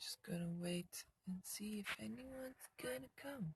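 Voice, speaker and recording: The speaker mumbles at a very slow pace. The pitch swings very widely. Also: woman. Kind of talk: casual talk to camera. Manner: mumbling.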